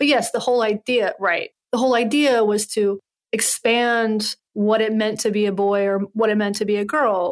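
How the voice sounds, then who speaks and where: On a very clean recording with a silent background, a woman talks in a normal speaking voice with an American accent. Her pitch is fairly high, her pace moderate, and her intonation fairly even. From US South, Western North Carolina. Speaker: podcast host and journalist. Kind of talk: casual interview conversation.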